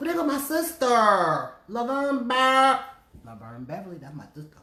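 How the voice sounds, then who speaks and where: Noticeable background noise sits behind a woman speaking at a moderate pace. Her tone is animated. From New Jersey. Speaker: radio host. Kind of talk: casual chat. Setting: Facebook live stream.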